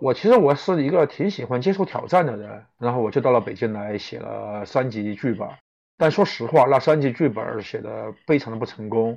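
Lively in intonation, a man talks at a moderate pace and a medium pitch. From Chongqing, China. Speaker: suspense novelist and screenwriter. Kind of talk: live-stream interview. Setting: online live broadcast. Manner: halting, many filler sounds.

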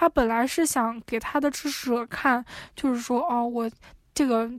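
The recording is very clean with a silent background, and the talking proceeds at a moderate pace. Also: woman. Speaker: PhD student. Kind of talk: casual chat.

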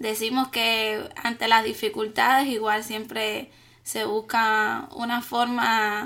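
A woman's fairly high, bright, sharp voice in a Cuban accent, very slow and monotone, with flat intonation. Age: 30s. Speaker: graduate student. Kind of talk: casual interview.

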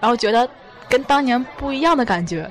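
A woman speaks at a fairly high pitch with lively intonation. There is noticeable background noise. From China, Tianjin. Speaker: podcast host, student. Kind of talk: casual interview. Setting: restaurant.

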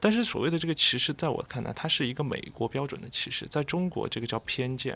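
Bright, sharp tone from a man, fairly quick pace, ordinary pitch variation, very clean recording and silent background. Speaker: graduate student. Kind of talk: radio panel discussion. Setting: radio studio.

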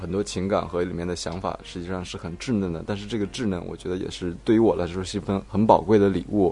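A man with a very deep, low pitch and a dark, mellow tone talks at a very fast pace with hardly any pauses. His intonation is fairly even, and the background is quiet. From Shaanxi, China. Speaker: author. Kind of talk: casual chat.

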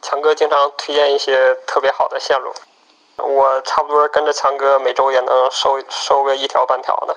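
Noticeable background noise sits under a man's fairly high voice. His delivery is fairly slow, with monotone, flat intonation. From Northeast China. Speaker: rock climber, student abroad. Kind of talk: recorded personal storytelling. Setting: self-recorded voice message.

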